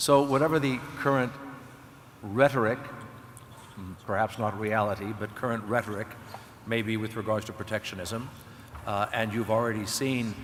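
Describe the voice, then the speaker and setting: With an American accent, a man of medium pitch talks at a moderate pace with fairly even intonation and long, frequent pauses over noticeable background noise. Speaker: panelist. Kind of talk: panel debate.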